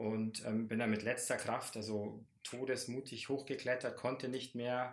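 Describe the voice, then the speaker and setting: A man is speaking. His medium pitch carries monotone, flat intonation. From Lower Bavaria, Landshut. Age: 30s. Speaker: teacher and climber. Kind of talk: casual interview.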